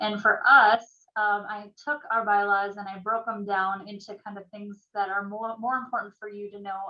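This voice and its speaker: A woman with a Minnesotan accent talks at a moderate pace and medium pitch, her intonation monotone and flat. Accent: Minnesota. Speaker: realtor association staff presenter. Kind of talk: orientation presentation. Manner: hesitant, many fillers.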